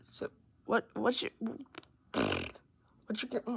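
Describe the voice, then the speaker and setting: A woman speaks at a very slow pace. Her fairly high voice is shaky. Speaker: gaming youtuber. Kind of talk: gameplay tutorial. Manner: shaky, halting.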